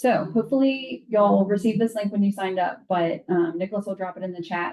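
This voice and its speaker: A woman with a plain, everyday voice, fairly low in pitch, at a moderate pace with ordinary pitch variation. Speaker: university alumni staff trainer. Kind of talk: training presentation.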